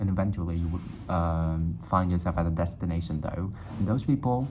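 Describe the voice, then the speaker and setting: At a moderate pace, a man with a Vietnamese accent speaks in a very deep, low voice. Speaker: YouTuber. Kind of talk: casual monologue to camera.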